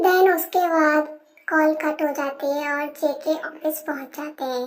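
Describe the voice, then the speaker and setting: A woman's high voice stays in a flat monotone at a fairly slow pace. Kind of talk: casual Hinglish fan-fiction narration. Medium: read story. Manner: chatty, mixes English words.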